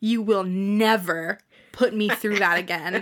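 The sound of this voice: A woman puts on a growling character voice at medium pitch. She talks at a fairly slow pace.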